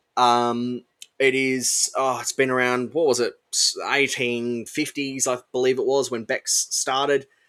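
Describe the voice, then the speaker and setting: A man speaks at a fairly slow pace in a medium pitch, with an Australian accent. His tone is bright and sharp, and his intonation is flat and monotone. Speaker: podcast co-host. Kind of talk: casual chat.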